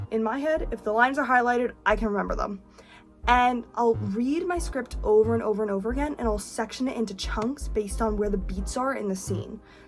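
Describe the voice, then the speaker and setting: A woman talks at a fairly quick pace with a New Jersey accent. Music plays in the background. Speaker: actor and singer, vlogger. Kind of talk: casual vlog tutorial.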